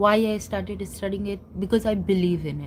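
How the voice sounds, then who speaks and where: Audible room echo around a woman speaking at a fairly slow pace. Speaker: astrology enthusiast YouTuber. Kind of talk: casual tutorial. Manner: halting, many fillers.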